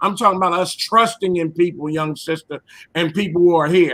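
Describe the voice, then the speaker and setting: A man's raised, projected voice, bright and sharp in tone, with ordinary pitch variation. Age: 60s. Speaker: caller on a live stream panel. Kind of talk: heated debate. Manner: animated.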